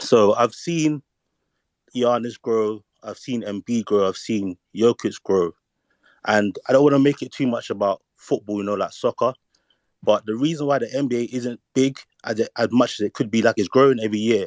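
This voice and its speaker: A man with a London accent, medium-pitched, ordinary pitch variation, a moderate pace, and a dry, close sound with no echo. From London, England. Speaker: caller in online discussion. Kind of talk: casual discussion. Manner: halting.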